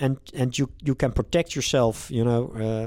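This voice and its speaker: In a very clean recording with a silent background, a man speaks with a Dutch accent. His pitch is medium, his pace moderate, and his pitch variation ordinary. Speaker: privacy tech company founder. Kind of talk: interview. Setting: company office. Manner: halting.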